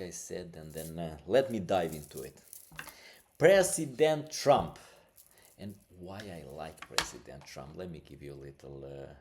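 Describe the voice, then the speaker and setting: Very deep and low in pitch, a man speaks at a moderate pace with lively intonation. His loudness swings widely. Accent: non-native. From Albania. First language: Albanian. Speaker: podcast host. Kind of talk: casual podcast monologue. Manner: halting, many fillers; animated.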